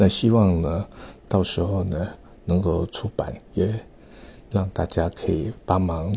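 This man has a very deep, low voice that is somewhat breathy. He talks at a very slow pace with fairly even intonation. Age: 50s. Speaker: calligrapher and artist vlogger. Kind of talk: casual monologue. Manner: halting, many filler particles.

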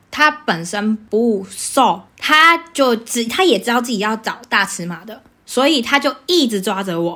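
A woman with a Taiwanese accent, fairly high pitch, very wide pitch swings, a bright, sharp tone and a fairly slow pace. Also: hardly any pauses. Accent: Taiwanese Mandarin. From Taiwan, Taichung. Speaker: podcast host, fashion retail worker. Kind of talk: casual chat.

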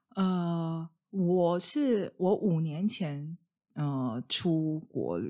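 A woman's voice with lively intonation. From Taiwan. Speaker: podcast host. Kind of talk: casual chat. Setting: video call. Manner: halting, many fillers.

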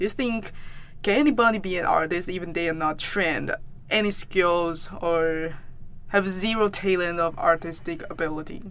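With a Taiwanese Mandarin accent, a woman speaks at a moderate pace in a bright, sharp tone, her fairly low pitch showing ordinary variation. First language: Mandarin Chinese. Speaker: podcast host and artist. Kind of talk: interview.

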